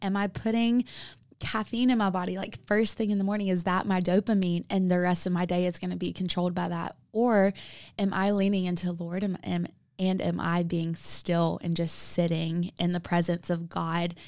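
In a very clean recording with a silent background, a woman speaks with an American accent and a fairly low pitch. She uses a normal speaking voice at a moderate pace with fairly even intonation. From US South, South Carolina. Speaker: nutrition coach. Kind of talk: casual chat.

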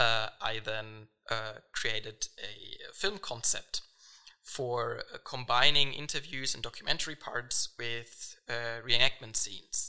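Speaking very slowly, a man with a medium pitch uses a bright, sharp tone and fairly even intonation. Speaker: film director. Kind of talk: interview. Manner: hesitant, many fillers.

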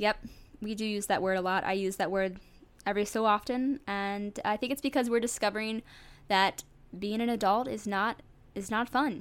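A woman with an American accent has an unremarkable speaking voice, fairly high in pitch, with fairly even intonation at a moderate pace. The recording is very clean, with a silent background. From US Midwest, suburbs of St. Louis, Missouri. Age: 20s. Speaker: podcast host. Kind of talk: casual solo podcast monologue. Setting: home recording with a USB microphone.

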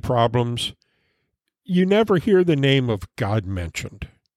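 On a very clean recording with a silent background, a man talks at a fairly slow pace in a fairly high voice with very wide pitch swings. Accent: American. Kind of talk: personal storytelling about childhood; solo podcast devotional, preacher-style Bible teaching on moral decline. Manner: slightly halting, repeating words; earnest, measured homiletic delivery.

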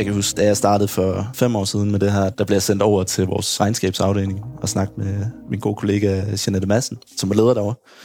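Over noticeable background noise, a man talks at a fairly quick pace in a fairly low pitch with monotone, flat intonation. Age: 30s. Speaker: hospital IT team leader. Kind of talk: interview.

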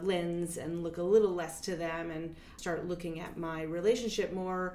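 There is audible room echo as a woman with a fairly low pitch talks at a moderate pace. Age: 40s. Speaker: dance artist and performer. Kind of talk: interview. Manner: hesitant, many filler words.

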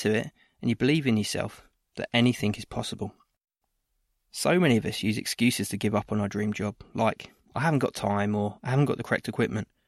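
Very fast delivery in a dry, close sound with no echo, over a very clean recording and a silent background. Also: man. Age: 30s. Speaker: podcast host and training provider. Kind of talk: scripted podcast introduction.

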